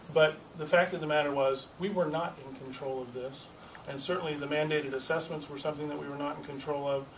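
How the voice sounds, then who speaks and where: Amid noticeable background noise and audible room echo, a man with a fairly high voice talks at a very fast pace in a flat monotone, his loudness swinging widely. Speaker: state legislator. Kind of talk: press conference.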